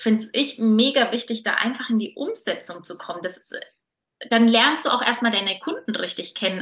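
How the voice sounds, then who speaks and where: With an unremarkable speaking voice, this woman's fairly high pitch shifts in an ordinary way as she goes at a moderate pace. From Franconia, Germany (Nuremberg). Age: 30s. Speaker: entrepreneur and style coach. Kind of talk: interview.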